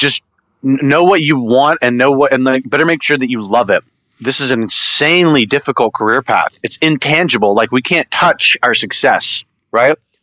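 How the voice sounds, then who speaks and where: In an American accent, a man with an unremarkable speaking voice talks at a moderate pace, medium pitch and ordinary pitch variation. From Louisiana, US South (Monroe). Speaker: actor and musician. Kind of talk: interview.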